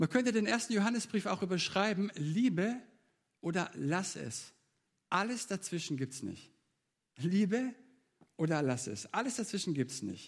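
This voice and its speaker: A man speaks at a moderate pace and a high pitch, with very wide pitch swings. Long pauses come frequently. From Baden-Württemberg, Germany (Leonberg). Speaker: preacher. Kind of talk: sermon.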